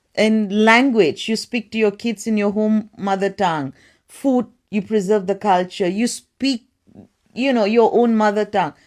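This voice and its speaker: In a very clean recording with a silent background, a woman speaks at a fairly slow pace, her fairly high pitch showing ordinary variation. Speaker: counsellor. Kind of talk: casual chat.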